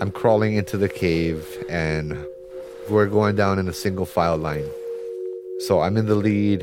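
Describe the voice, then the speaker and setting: Over noticeable background noise, a man with a very deep, low voice speaks at a moderate pace with long, frequent pauses. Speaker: storyteller. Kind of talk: first-person ghost story telling. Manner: tense, building urgency.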